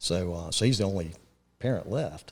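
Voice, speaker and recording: In a very clean recording with a silent background, a man with an eastern North Carolina accent speaks at a very deep, low pitch. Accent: eastern North Carolina Southern. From eastern North Carolina (Kinston). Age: 50s. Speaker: real estate investor. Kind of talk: casual podcast chat. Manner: hesitant, many fillers.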